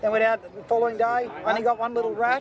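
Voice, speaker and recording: Crowd noise fills the background. A man with an Australian accent speaks in an excited tone at an extremely high pitch. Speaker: fishing show host. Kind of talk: outdoor presenting; scripted narration. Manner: shouting, excited.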